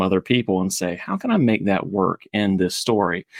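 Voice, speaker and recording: In a very clean recording with a silent background and a dry, close sound with no echo, a man speaks at a fairly low pitch with ordinary pitch variation. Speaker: podcaster. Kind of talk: casual chat. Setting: at home, child screaming in background. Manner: enthusiastic.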